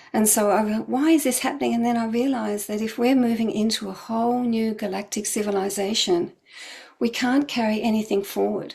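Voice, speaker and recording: A woman's voice, somewhat breathy and fairly high in pitch. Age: 70s. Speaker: spiritual healer. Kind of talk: spiritual talk. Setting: online event.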